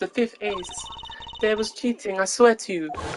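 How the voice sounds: Pitch moves in an ordinary way as this natural reading voice goes through the text.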